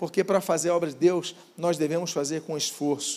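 Moderately paced male speech, high in pitch, its intonation fairly even. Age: 50s. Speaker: pastor. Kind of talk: sermon.

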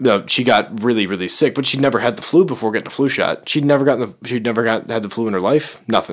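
A man with a Chicago accent at medium pitch and a very fast pace, ordinary pitch variation, on a very clean recording with a silent background. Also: hardly any pauses. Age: 20s. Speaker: podcast co-host and DJ. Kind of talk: casual chat.

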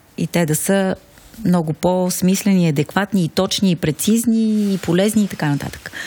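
Amid noticeable background noise, a woman speaks at a moderate pace and a medium pitch, with ordinary pitch variation and very even loudness. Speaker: city project coordinator. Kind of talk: interview.

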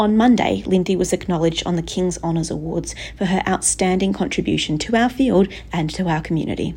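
A woman with an Australian accent speaks at a fairly low pitch and a fairly quick pace, with ordinary pitch variation. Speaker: podcast host. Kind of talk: interview conversation.

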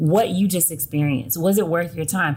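A woman with an American accent has an ordinary speaking voice pitched fairly low. Her intonation is lively. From US South, Selma, Alabama. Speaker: education consultant. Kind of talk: interview.

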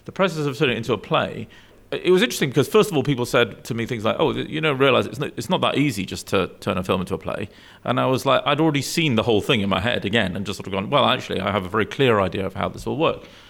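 A man's medium-pitched voice at a very fast pace, with lively intonation and vocal fry. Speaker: theatre director. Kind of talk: interview. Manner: animated.

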